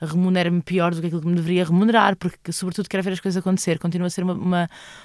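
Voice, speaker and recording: Speaking very fast in a Lisbon accent, a woman with a fairly low pitch is recorded dry and close with no echo. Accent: European Portuguese, Lisbon area. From Portugal, Lisbon suburbs (Loures). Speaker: actress and theatre company director. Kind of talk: interview conversation.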